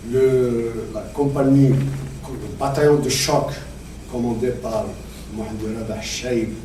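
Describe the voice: A man is talking. Audible room echo surrounds his voice.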